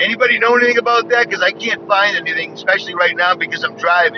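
Clear background noise behind a man's dry, echo-free voice. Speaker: vlogger. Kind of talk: casual vlog commentary. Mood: skeptical, animated. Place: car. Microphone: phone near.

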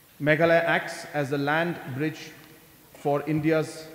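A man speaks in a monotone, flat intonation. Audible room echo surrounds his voice. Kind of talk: formal speech. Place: hall. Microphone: podium.

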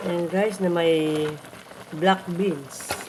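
Fairly low in pitch with fairly even intonation, a woman speaks amid audible room echo and noticeable background noise. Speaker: cooking vlogger. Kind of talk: cooking tutorial. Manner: halting.

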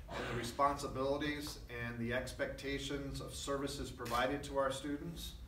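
Noticeable background noise can be heard as a man speaks. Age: 50s. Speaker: school superintendent. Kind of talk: press conference. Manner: halting. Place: meeting room. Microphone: podium.

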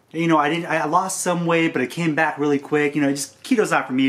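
The speaker is male. He talks fairly quickly. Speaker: diet talk host. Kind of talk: casual vlog chat. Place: home room. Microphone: camera far.

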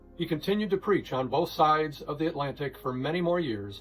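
With faint music in the background, a man speaks at a moderate pace in a fairly high pitch with lively intonation. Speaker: pastor. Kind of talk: sermon summary delivered as a short devotional message.

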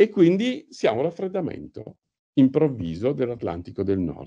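With a dark, mellow tone and some vocal fry, a man talks at a moderate pace and medium pitch, his voice making very wide pitch swings. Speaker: professor giving a lecture on climate physics. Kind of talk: lecture. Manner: halting, many fillers and repetitions.

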